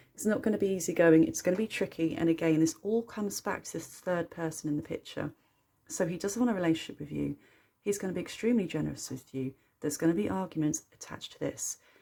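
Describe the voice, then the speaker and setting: A woman talks very fast with lively intonation, her fairly low voice dark and mellow with vocal fry. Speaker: tarot reader. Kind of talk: tarot reading to camera. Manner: animated.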